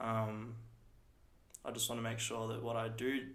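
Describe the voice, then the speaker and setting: A man with an Australian accent, medium pitch and monotone, flat intonation, at a fairly quick pace amid audible room echo. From Australia (Ballarat, Victoria). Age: 20s. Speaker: small business owner. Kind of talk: casual interview chat.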